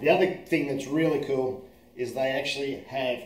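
Audible room echo colors the recording. A man speaks at a moderate pace with fairly even intonation. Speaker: presenter. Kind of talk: casual product tutorial. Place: kitchen. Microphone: phone near.

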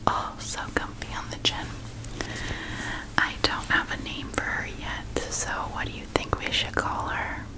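Loud background noise surrounds a soft-spoken woman talking at a fairly slow pace. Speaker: relaxation video host. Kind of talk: soft personal-attention roleplay talk. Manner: soft, hushed ASMR close-mic voice. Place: home room.

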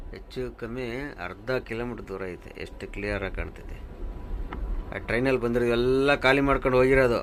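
The man's intonation stays fairly even, and audible room echo follows his words. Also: medium pitch for a man, big swings in loudness. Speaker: truck driver vlogger. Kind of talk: casual vlog narration.

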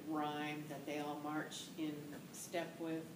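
The woman's pitch is very deep and low. Noticeable background noise runs under her voice. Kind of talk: interview answer. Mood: calm, reflective. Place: office.

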